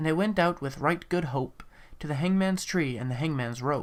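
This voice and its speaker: A very clean recording with a silent background captures speech at a moderate pace. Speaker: amateur poetry reader. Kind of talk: dramatic poetry reading. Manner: dark, dramatic.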